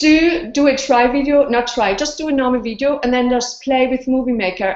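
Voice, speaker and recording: A woman with a non-native accent speaks in a high voice. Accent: foreign. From Austria. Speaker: blogger and video interviewer. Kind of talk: casual interview. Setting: video call. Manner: animated.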